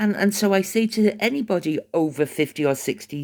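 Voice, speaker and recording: A woman with an English accent, a dark, mellow tone and lively intonation, on a very clean recording with a silent background. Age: 60s. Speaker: vlogger. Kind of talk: casual monologue.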